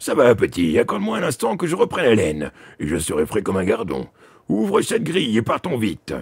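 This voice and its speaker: A man's put-on character voice, medium in pitch, at a fairly quick pace. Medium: read story. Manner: gruff, brusque.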